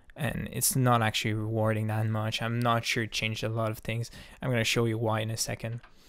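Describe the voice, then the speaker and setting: A man talks at a very fast pace in a monotone, flat way. The sound is dry with no echo, and the background is quiet. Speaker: hobbyist youtuber. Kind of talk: casual tutorial chat. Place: home room. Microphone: studio mic.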